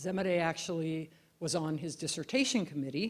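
A woman talks with an American accent and a very deep, low pitch. Her pitch varies in an ordinary way. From US Pacific Northwest and Alaska. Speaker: keynote lecturer. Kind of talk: lecture. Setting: lecture hall with live audience. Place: hall. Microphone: handheld.

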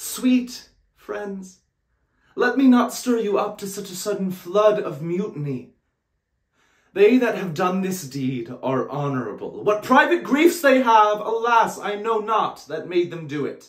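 A man speaks at a fairly slow pace against a quiet background. Room echo is audible. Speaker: actor. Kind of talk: dramatic monologue performance. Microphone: phone near.

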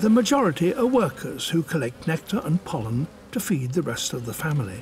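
Noticeable background noise sits behind a man talking at a fairly quick pace. His fairly high voice moves in very wide pitch swings. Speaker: nature documentary narrator. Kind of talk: nature documentary narration.

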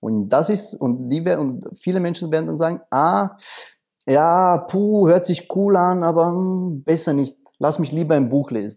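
In a quiet setting, a man speaks fairly slowly at a high pitch, his dark, mellow tone carrying lively intonation. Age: 30s. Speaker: coach. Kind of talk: interview. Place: studio. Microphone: lapel.

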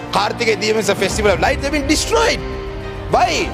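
A man speaks with clear music in the background. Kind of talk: parliamentary speech. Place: hall. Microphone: podium.

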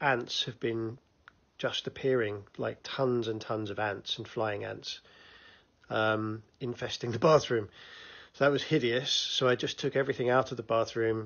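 A man delivers his words at a moderate speed, his intonation fairly even, and the background is quiet. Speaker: vlogger. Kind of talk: casual vlog chat. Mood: cheerful, chatty storytelling. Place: home room. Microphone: phone near.

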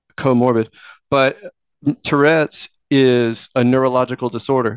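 Speaking at a fairly slow pace, a man with a Texan accent has a medium pitch. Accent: Texan American. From Houston, Texas. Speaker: fantasy author and journalist. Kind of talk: interview. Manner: halting.

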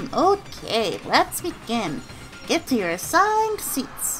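Over clear background noise, a woman performs a put-on character voice at a high pitch. She goes fairly slowly, her pitch swinging very widely. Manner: playful, mocking, whiny.

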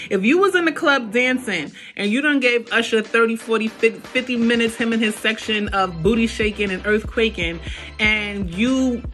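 The speech moves at a moderate pace with ordinary pitch variation. Faint music plays in the background. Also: woman. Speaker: vlogger. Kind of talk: casual vlog chat while eating. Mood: playful, questioning. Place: kitchen. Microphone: phone near.

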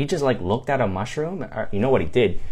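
Over a quiet background, a man speaks in a somewhat breathy voice with lively intonation. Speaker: movie reviewer. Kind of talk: casual vlog commentary. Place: home room. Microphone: phone near.

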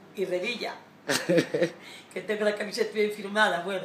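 Audible room echo and light background noise surround a woman talking at a fairly quick pace. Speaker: grandmother, investment-scandal victim. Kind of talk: casual talk to camera, greeting a public figure. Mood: cheerful, smiling. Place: home room. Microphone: phone near.

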